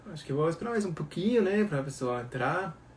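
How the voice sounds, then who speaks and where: This man's voice is somewhat breathy. His pitch rises and falls in an ordinary way. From Germany. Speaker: baker. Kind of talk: live Q&A stream. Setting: at home.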